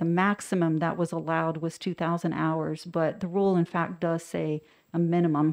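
In a quiet background, a woman with a fairly low pitch speaks at a fairly slow pace with fairly even intonation in an unremarkable speaking voice. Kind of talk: formal briefing. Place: meeting room. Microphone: podium.

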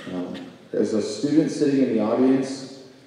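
A man in strong room echo, with ordinary pitch variation. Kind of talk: ceremony welcome speech. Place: hall. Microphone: podium.

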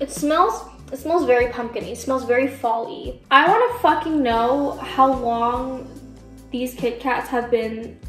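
Faint music plays behind a speaker who talks at a fairly slow pace with ordinary pitch variation and audible room echo. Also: woman, high pitch for a woman. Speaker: candy reviewer. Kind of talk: casual vlog chat. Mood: sarcastic, playful. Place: home room. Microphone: camera far.

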